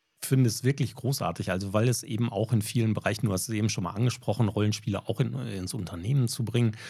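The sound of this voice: A man with a dark, mellow tone and vocal fry speaks at a fairly low pitch and a fast pace. His pitch varies in an ordinary way, and the recording is very clean with a silent background.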